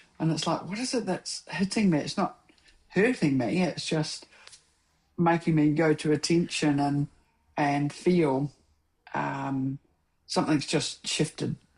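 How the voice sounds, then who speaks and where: Speaking in a New Zealand accent, a woman with a very deep, low pitch talks at a fairly slow pace, using ordinary pitch variation and long, frequent pauses. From New Zealand, South Island (Dunedin). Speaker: filmmaker and mentor. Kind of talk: casual chat. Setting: podcast interview.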